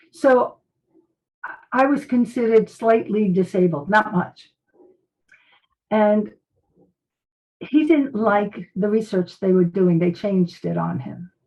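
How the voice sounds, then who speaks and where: Speaking very slowly with long, frequent pauses, a woman with an American accent uses a medium pitch, lively intonation and a somewhat breathy, dark, mellow tone. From US Northeast, Brooklyn, New York. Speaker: medical intuitive and psychic detective, former nurse. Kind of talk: interview testimony.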